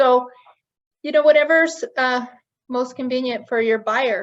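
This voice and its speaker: A woman talks with ordinary pitch variation. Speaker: nonprofit housing director. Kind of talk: webinar presentation. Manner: fast.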